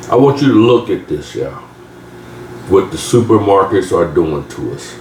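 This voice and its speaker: A man talks at a moderate pace in an animated tone, with audible room echo and noticeable background noise. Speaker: home cooking youtuber. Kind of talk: cooking tutorial. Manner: animated, conversational.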